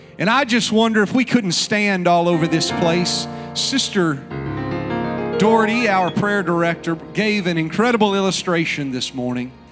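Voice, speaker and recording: A man talks at a moderate pace while clear music can be heard behind him. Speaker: pastor. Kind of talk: sermon opening and prayer. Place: church. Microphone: handheld.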